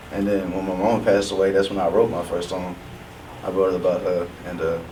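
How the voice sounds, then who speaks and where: A man talks fairly quickly in a very deep, low, monotone voice. Noticeable background noise and audible room echo surround him. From south side of Houston, Texas. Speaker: rapper. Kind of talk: casual interview.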